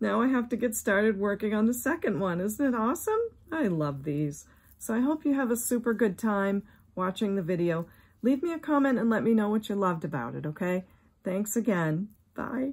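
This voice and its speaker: A woman talks at a fairly quick pace, her voice somewhat breathy. Her pitch swings very widely. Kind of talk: casual vlog chat. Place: home room. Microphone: phone near.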